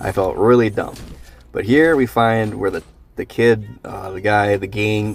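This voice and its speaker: The man's fairly low voice holds a fairly even intonation. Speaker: gaming youtuber. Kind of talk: gameplay voiceover commentary. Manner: casual, slightly forced.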